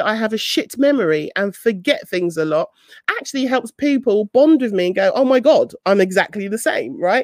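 Her pitch swinging very widely, a woman speaks fairly quickly. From South London. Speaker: podcast host and online business coach. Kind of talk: casual chat hosting a live audio room. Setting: live online audio room.

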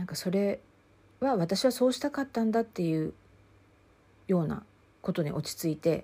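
Speaking at a moderate pace with long, frequent pauses, a woman of medium pitch uses lively intonation and a dark, mellow tone. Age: 50s. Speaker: counselor and podcast host. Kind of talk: solo podcast talk.

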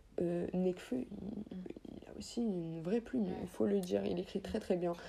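A somewhat breathy, dark and mellow voice at a fairly slow pace. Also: woman. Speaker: rapper. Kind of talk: casual interview. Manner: casual, with English interjections.

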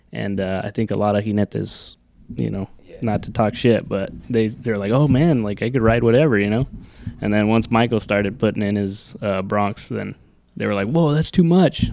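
Using an ordinary speaking voice, a man talks at a moderate pace with an American accent. His pitch is fairly low, with ordinary pitch variation. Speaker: rodeo rider. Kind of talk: casual chat.

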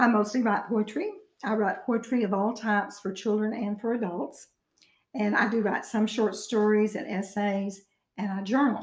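A somewhat breathy woman with an Arkansas accent and fairly even intonation. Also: fairly high pitch for a woman, moderate pace. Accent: Southern US (Arkansas). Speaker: author and retired teacher. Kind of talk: interview.

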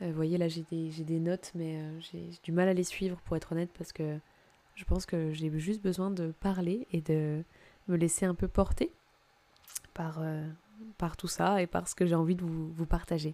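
A woman with a fairly low pitch talks in a monotone, flat intonation broken by long, frequent pauses. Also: moderate pace. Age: 20s. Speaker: podcast host. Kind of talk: solo podcast monologue. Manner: halting.

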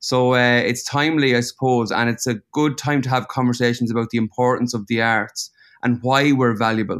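In an Irish accent, a man speaks at a medium pitch and fairly quick pace with monotone, flat intonation and very even loudness, on a very clean recording with a silent background and a dry, close sound with no echo. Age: 30s. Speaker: painter. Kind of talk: casual chat.

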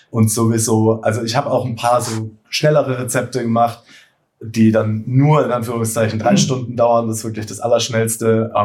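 The voice is somewhat breathy and moves at a moderate pace. Its intonation is monotone and flat. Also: man, medium pitch for a man. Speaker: bread baking content creator and cookbook author. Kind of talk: casual chat. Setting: studio couch, recording together. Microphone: poor sound quality in first episode.

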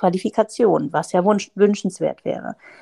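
A woman at medium pitch speaks with a dark, mellow tone in a dry, close sound with no echo, on a very clean recording with a silent background. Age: 30s. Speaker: surgeon. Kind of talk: interview.

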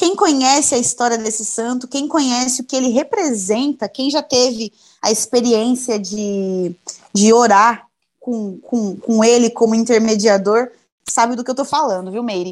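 The speaker is a woman at a moderate pace. Her pitch variation is ordinary. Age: 20s. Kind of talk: podcast interview.

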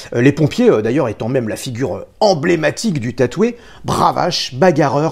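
Fairly slow speech from a man with very wide pitch swings. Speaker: tattoo artist. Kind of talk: scripted narration.

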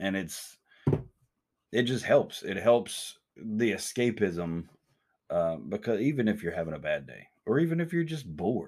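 A man speaks at a fairly slow pace in a fairly low pitch, with long, frequent pauses. His pitch swings very widely and his loudness shifts greatly. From US South. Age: 40s. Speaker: podcast host. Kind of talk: casual chat. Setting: studio, also streamed live online.

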